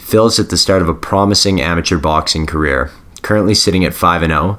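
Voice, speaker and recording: Over noticeable background noise, a man with a very deep, low pitch talks at a very fast pace. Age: 20s (29). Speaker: podcast host. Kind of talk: scripted intro; casual interview.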